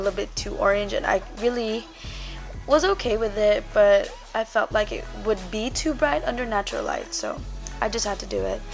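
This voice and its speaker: A woman is talking at a fairly quick pace. Behind her, music can be heard. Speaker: beauty vlogger. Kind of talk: voiceover tutorial. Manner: casual, conversational.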